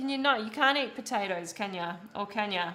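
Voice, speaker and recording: A woman at medium pitch with an Australian accent, speaking at a moderate pace with music in the background. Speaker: streamer and painter. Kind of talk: casual live-stream chat. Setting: live stream while painting.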